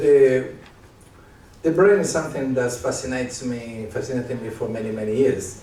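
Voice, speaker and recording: With an Argentinian accent, a man talks at a moderate pace in a medium pitch with ordinary pitch variation, and audible room echo surrounds him. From Argentina, Córdoba and Buenos Aires. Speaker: psychiatrist and leadership speaker. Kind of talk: live stage interview. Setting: stage with audience.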